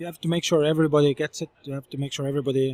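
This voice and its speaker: With an Estonian accent, a man speaks at a very fast pace in a fairly high pitch, his tone dark and mellow, his intonation monotone and flat, and the sound dry and close with no echo. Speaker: startup founder and CEO. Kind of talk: interview. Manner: hesitant, many fillers.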